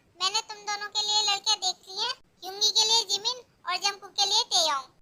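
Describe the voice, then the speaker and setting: A woman does a playful put-on character voice at an extremely high pitch. She goes at a fairly quick pace, and the sound is dry and close with no echo. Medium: fan dub. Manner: bossy, playful.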